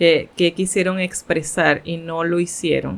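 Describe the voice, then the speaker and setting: A fairly low-pitched woman's voice at a very slow pace. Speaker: podcast co-host. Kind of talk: casual chat.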